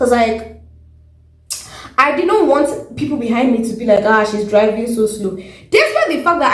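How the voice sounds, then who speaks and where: Noticeable background noise and audible room echo surround a woman speaking at a fairly quick pace with a fairly high pitch and lively intonation. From Nigeria. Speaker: vlogger, learner driver. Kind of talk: casual vlog chat. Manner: animated, many fillers.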